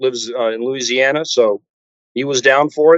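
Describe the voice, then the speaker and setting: A man talks with a Texan accent. His pace is moderate. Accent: Texan American. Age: 60s. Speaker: metal guitarist. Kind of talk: interview. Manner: halting, many fillers.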